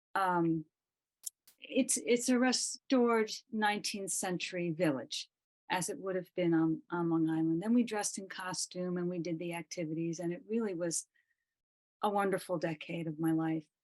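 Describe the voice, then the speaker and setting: At a moderate pace, a woman with an unremarkable speaking voice talks at a fairly low pitch with ordinary pitch variation. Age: 60s. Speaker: massage therapist, participant. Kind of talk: sharing in an online prayer gathering.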